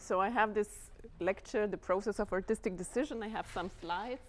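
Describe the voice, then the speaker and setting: A woman speaks with a Lithuanian accent at medium pitch and a fairly quick pace. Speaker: dance house artistic director. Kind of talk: lecture. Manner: halting, many fillers.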